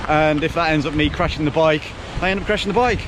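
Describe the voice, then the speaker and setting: Amid noticeable background noise and audible room echo, a man talks at a fairly high pitch with ordinary pitch variation. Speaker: motorcycle vlogger. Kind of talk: casual vlog monologue. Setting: outdoors on coast path. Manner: loud, raised over wind.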